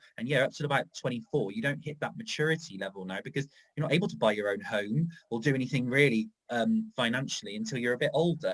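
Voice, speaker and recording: Very wide pitch swings mark this man's somewhat breathy voice. He speaks at a very fast pace. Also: medium pitch for a man. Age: 30s. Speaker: tourism strategist. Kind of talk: panel discussion.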